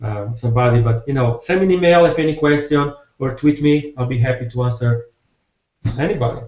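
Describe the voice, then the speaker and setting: This man has an Italian accent and sounds somewhat breathy. He talks at a fairly quick pace. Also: medium pitch for a man, ordinary pitch variation. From Italy. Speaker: software developer. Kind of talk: technical presentation. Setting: video call. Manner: fast; halting.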